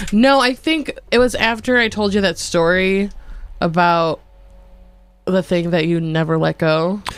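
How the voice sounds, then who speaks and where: A woman talks at a fairly slow pace, with long, frequent pauses. The sound is dry with no echo. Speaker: podcast co-host. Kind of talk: casual chat. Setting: studio. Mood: relaxed, joking. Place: studio. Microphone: studio mic.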